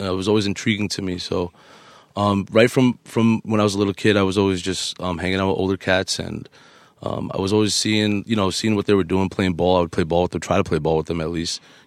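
Very fast and with fairly even intonation, a man speaks in a fairly low pitch on a very clean recording, silent background. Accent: New York. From Queens, New York, US. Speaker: DJ and podcast co-host. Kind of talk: casual chat.

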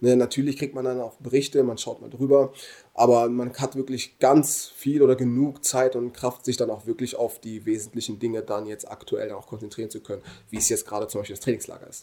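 A man's medium-pitched voice at a fairly quick pace, flat and monotone in intonation, with big swings in loudness. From Germany. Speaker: professional footballer. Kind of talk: casual interview.

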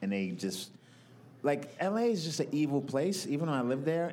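A man in an American accent talks at a fairly quick pace and a fairly high pitch. Room echo can be heard in the recording. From New York. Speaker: comedian. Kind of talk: casual chat. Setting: live at a comedy festival.

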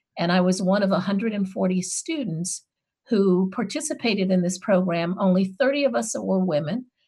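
Somewhat breathy and dark, mellow in tone, the speaker uses lively intonation at a fairly slow pace in an American accent. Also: woman, medium pitch for a woman. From Chicago. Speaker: anthropologist and former university president. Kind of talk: panel discussion.

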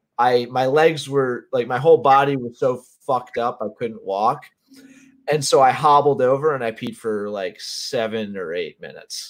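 At a moderate pace, a plain, everyday voice shows ordinary pitch variation and big swings in loudness. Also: man, medium pitch for a man. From Connecticut. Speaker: podcast host. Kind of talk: casual chat.

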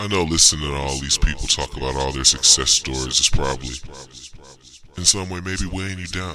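A man's very deep, low voice at a fairly quick pace, with ordinary pitch variation, big swings in loudness and noticeable background noise. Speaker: ad pitchman. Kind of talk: radio ad pitch, street-seller style.

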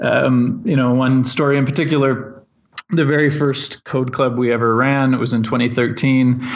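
A man with a Canadian accent speaks at a moderate pace with fairly even intonation. His loudness stays very even, and there is audible room echo. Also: medium pitch for a man. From Ontario, Canada (Lindsay). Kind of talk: interview. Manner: halting, many fillers.

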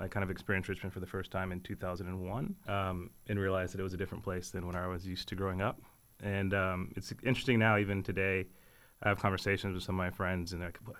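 Speaking at a very fast pace in a very deep, low pitch, a man holds a monotone, flat intonation on a very clean recording with a silent background. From Texas, Houston area. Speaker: community organizer and parent. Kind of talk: radio interview.

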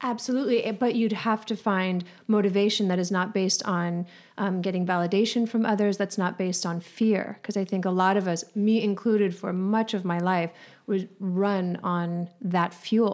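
At a moderate pace and with fairly even intonation, the clip presents an ordinary speaking voice. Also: woman, medium pitch for a woman. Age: 40s. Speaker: psychic. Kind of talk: casual chat.

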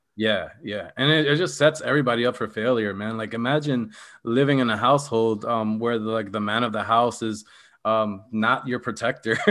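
This man speaks at a moderate pace with a medium pitch. He has an ordinary speaking voice. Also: ordinary pitch variation. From Philadelphia, US. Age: 30s. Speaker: political activist. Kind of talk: casual chat.

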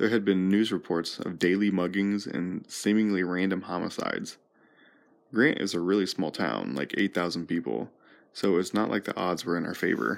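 Speaking at a moderate pace, a man uses a very deep, low pitch with vocal fry and ordinary pitch variation. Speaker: podcast host and storyteller. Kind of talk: storytelling narration. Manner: hesitant with fillers.

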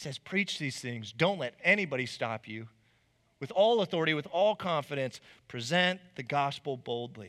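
On a very clean recording with a silent background, a man with a Southwest US accent talks at a moderate pace with lively intonation and big swings in loudness. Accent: General American (Southwest US). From Arizona, Chandler/Mesa area. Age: 30s. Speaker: preacher. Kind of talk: sermon. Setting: church stage with congregation.

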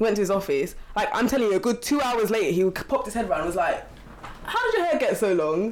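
Racing at a very fast pace, a woman with a fairly high pitch makes very wide pitch swings amid noticeable background noise. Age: 20s. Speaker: quantity surveyor. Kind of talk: casual chat.

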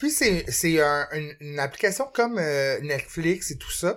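Someone with a Quebec accent speaks at a very slow pace in a very clean recording with a silent background. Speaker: podcast co-host. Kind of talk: casual chat.

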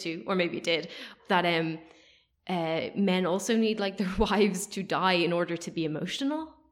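Moderately paced, a woman with a plain, everyday voice speaks at a medium pitch with ordinary pitch variation. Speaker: film podcast host. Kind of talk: casual chat.

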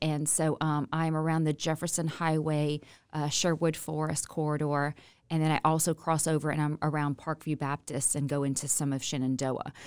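This woman's voice is very deep and low-pitched. She talks at a moderate pace. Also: very clean recording, silent background. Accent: Louisiana. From Louisiana. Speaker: state legislator. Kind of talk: casual interview.

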